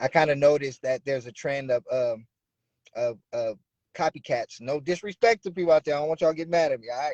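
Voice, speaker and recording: A man with an American accent speaks at a very fast pace, his fairly high pitch showing ordinary variation. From Bay Area, California (Oakland). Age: 30s. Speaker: rapper. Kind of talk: interview.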